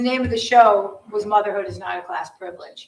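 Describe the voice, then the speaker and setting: At a moderate pace, a woman with an American accent talks in a fairly high voice with ordinary pitch variation. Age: 60s. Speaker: documentary photographer. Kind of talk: audience Q&A at artist talk. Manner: halting.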